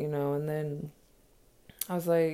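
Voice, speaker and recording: Here is a woman with an American accent. Her tone is dark and mellow. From United States. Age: 30s. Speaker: podcast host. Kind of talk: solo casual monologue. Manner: casual with many fillers.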